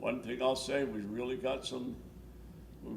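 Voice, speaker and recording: A man speaks slowly-ish at a medium pitch, at a fairly slow pace, with audible room echo. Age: 90s. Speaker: war veteran. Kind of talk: oral history interview. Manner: halting, repetitive.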